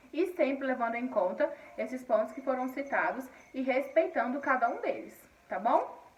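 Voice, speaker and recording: This woman's voice is high-pitched, with ordinary pitch variation. Her pace is moderate, against noticeable background noise. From Paraíba, northeastern Brazil. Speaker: schoolteacher. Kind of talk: recorded online lesson. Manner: halting, frequent repetitions and fillers.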